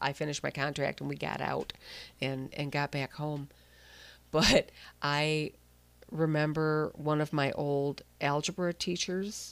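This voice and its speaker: Over a silent background in a very clean recording, a woman with a very deep, low pitch speaks at a fairly slow pace, leaving long, frequent pauses. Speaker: radio host. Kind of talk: casual chat.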